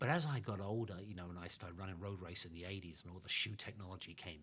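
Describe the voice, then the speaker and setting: A man with an American accent speaks at a very fast pace, his pitch very deep and low. His tone is bright and sharp, with ordinary pitch variation. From England. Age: 70s. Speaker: retired professional runner. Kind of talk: interview.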